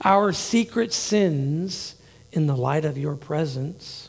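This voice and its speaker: A man's fairly high voice comes out somewhat breathy, with pitch moving in an ordinary way. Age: 50s. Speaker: pastor. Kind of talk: sermon. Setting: church. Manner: halting.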